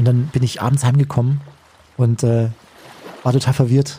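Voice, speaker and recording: A somewhat breathy, dark and mellow voice with flat, monotone intonation. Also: man. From Bavaria, Chiemgau. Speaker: radio host. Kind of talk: casual chat.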